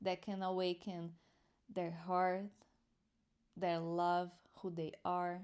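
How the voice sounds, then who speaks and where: Speaking very slowly with long, frequent pauses, a woman keeps a monotone, flat delivery at a fairly low pitch. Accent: non-native. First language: not English. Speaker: spiritual teacher. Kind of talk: spiritual commentary and teaching. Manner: halting.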